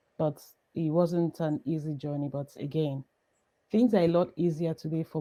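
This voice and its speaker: With a Nigerian accent, a woman speaks in a very deep, low voice of dark, mellow tone. Her pace is moderate and her intonation fairly even. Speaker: entrepreneur. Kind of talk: interview. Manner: halting.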